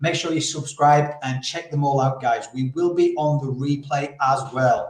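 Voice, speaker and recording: Speaking at a fairly slow pace, a man with a fairly high pitch sounds somewhat breathy, his intonation monotone and flat. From Yorkshire, northern England. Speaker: podcast host, campaign founder. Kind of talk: interview. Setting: live video stream.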